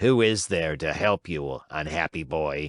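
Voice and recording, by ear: A man's raspy, very deep, low put-on character voice at a fairly slow pace.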